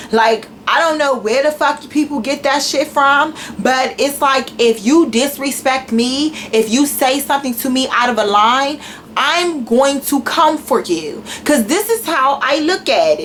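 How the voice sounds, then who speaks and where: Over noticeable background noise, a woman with a high voice speaks at a fairly slow pace. Her tone is animated. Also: ordinary pitch variation. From Washington DC. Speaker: YouTuber. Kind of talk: rant.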